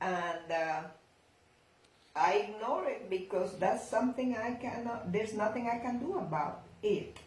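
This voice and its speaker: Using lively intonation, a woman with a non-native accent speaks at a fairly slow pace with long, frequent pauses, and audible room echo in the recording. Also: fairly high pitch for a woman. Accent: foreign. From outside the US, non-English-speaking country. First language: not English. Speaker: grandmother interviewee. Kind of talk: casual family Q&A interview. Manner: halting.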